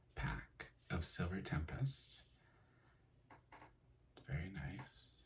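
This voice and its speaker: Soft-spoken and relaxed, a man with a very deep, low pitch talks at a very slow pace, with very wide pitch swings and long, frequent pauses. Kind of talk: soft-spoken ASMR talk to camera about card collecting. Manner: soft-spoken, relaxed.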